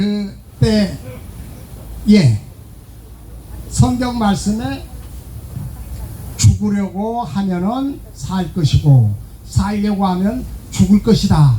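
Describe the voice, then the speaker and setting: Speaking at a very slow pace with long, frequent pauses, a man uses a high pitch and very wide pitch swings, with audible room echo and noticeable background noise. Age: 70s. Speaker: pastor. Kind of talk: sermon. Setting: outdoors.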